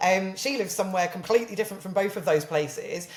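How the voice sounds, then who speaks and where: A woman talks with a southern English accent. Noticeable background noise is present. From southern England. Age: 30s. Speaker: social media marketer. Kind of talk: casual chat.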